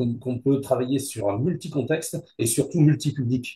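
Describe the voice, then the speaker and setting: Somewhat breathy, with a dark, mellow tone, a man talks at a moderate pace with ordinary pitch variation. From Hauts-de-France, northern France. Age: 70s. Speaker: business owner. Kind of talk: interview. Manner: hesitant, many fillers.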